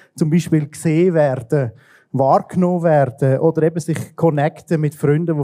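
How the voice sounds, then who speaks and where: This man has a fairly high pitch and a monotone, flat delivery. The recording is very clean and silent behind him, with a dry, close sound and no echo. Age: 30s. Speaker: church technical director. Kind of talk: interview. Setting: church service livestream.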